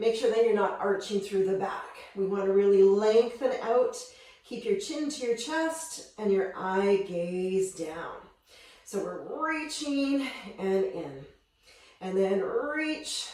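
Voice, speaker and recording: Speech at a very slow pace swings very widely in pitch, with noticeable background noise and audible room echo. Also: woman, medium pitch for a woman. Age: 50s. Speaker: fitness instructor. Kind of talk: workout instruction. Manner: energetic.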